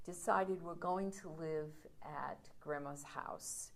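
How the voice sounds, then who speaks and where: With an American accent, a woman speaks at a very slow pace. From New York City (Brooklyn, Coney Island). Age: 60s. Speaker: storyteller. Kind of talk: personal storytelling.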